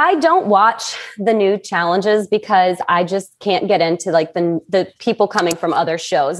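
The speaker is a woman. She talks at a moderate pace. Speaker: remote podcast guest. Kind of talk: interview answer. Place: home room. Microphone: earbuds.

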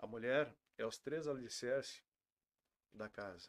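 Over a quiet background, a man talks at a fairly slow pace. His pitch is medium, with ordinary pitch variation. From Rio Grande do Sul (Santa Maria); Rio Grande do Sul. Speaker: restaurant owner; podcast guest. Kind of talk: interview. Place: studio.

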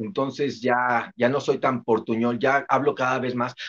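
A man is speaking. His tone is animated. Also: quiet background. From Mexico City. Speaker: motivational speaker. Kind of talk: casual interview chat. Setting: video call. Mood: relaxed, joking. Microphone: video call.

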